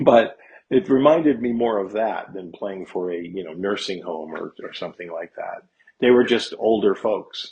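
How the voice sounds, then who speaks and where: A man talks at a moderate pace and medium pitch in a normal speaking voice, with lively intonation. His loudness swings a lot. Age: 60s. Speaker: guest musician, gigging guitarist. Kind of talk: casual interview chat.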